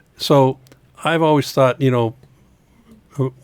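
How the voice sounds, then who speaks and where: A man speaks at a moderate pace with fairly even intonation. The recording is very clean, with a silent background. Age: 60s. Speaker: guitar company president. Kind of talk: casual chat. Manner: halting.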